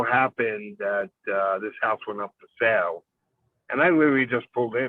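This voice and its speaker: A man talks with a New York accent. His pitch is medium, with ordinary variation. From New York City, Brooklyn. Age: 60s. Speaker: business partner, Christmas tree farm owner. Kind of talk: podcast interview.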